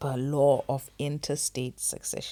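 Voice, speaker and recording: A woman's very deep, low voice with a dark, mellow tone, on a very clean recording with a silent background. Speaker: financial advisor. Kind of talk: tutorial. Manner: fast.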